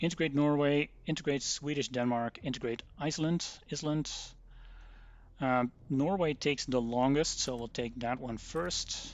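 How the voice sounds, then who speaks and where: A man with a Dutch accent talks at a moderate pace in a fairly high pitch. His pitch varies in an ordinary way. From Netherlands. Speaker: gaming streamer. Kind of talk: live gameplay commentary. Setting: live stream.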